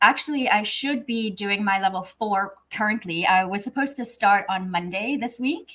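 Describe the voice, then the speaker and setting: Speaking at a moderate pace with hardly any pauses, a woman uses a fairly high pitch, ordinary pitch variation and a bright, sharp tone. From South Africa. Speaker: refrigeration apprentice and trades influencer. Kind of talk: interview.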